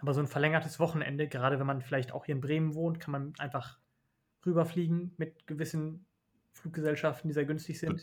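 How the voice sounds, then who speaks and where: In a monotone, flat intonation, a man talks at a fairly quick pace with a fairly high pitch. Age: 20s. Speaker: doctor. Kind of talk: casual chat.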